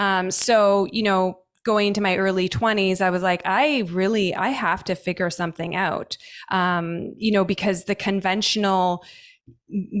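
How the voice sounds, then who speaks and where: A woman with a Canadian accent uses a normal speaking voice at medium pitch and a moderate pace, with ordinary pitch variation. Her recording is very clean, with a silent background. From Canada. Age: 40s. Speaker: holistic nutritionist. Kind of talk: podcast interview.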